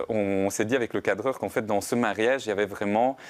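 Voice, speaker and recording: A man with a Belgian accent and fairly even intonation, in a very clean recording with a silent background. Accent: Belgian French, Italian accent gone. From southern Italy. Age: young. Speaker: film director. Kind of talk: TV interview. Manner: hesitant, many fillers.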